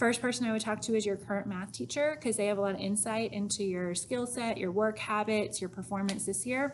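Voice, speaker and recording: In an ordinary speaking voice, a woman talks fairly quickly at a fairly high pitch with ordinary pitch variation. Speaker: high school math teacher. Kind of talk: recorded informational talk to students.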